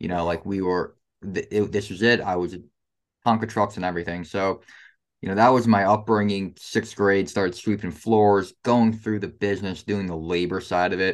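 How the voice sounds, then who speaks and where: With fairly low pitch, a man talks in an ordinary speaking voice and fairly even intonation. The background is quiet. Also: moderate pace. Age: 20s. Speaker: construction contractor. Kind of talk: interview.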